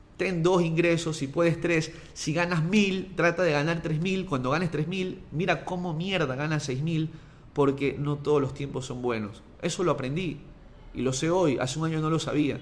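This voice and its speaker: Audible room echo surrounds a voice at a moderate pace with fairly even intonation. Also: man, fairly high pitch for a man. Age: 30s. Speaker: sports journalist and podcaster. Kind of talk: motivational monologue.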